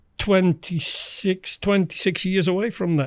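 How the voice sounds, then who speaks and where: With a Dutch accent, a man speaks in fairly even intonation. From Netherlands. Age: 60s. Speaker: former international angler. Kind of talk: podcast interview, personal story.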